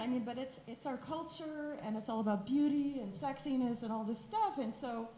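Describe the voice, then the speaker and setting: Room echo and noticeable background noise surround a woman speaking in a high pitch with hardly any pauses. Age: 60s. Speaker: audience member, author. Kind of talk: audience comment at panel. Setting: panel event with audience. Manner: animated.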